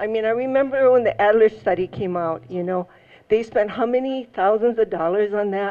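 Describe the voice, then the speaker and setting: In a Hawaiian accent, a woman with a fairly high pitch talks at a moderate pace with ordinary pitch variation. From Hawaii, Maui. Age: 70s. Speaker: resident testifying at public hearing. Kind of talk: public testimony. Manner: halting, with many fillers.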